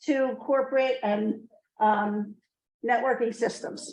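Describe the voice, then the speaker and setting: Speaking loudly and very slowly, a woman keeps a high pitch and fairly even intonation. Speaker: business executive and speaker. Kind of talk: talk to a class of high school students. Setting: classroom with live audience, no microphone.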